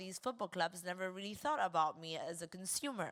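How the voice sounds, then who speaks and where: Captured in a very clean recording with a silent background, a woman speaks with an Argentine accent at a medium pitch. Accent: Argentinian. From Argentina. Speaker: women's football club founder. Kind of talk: panel discussion.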